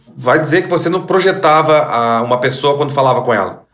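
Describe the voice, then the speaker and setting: A man at a fairly high pitch with ordinary pitch variation, amid audible room echo and noticeable background noise. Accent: Rio Grande do Sul. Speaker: sound strategist, podcast host. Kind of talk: interview.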